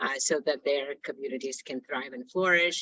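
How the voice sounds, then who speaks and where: Her pitch is very deep and low for a woman, and her intonation stays fairly even. This woman keeps to a moderate pace. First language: not English. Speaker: company CEO. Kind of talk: prepared talk on video call. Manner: halting, many fillers.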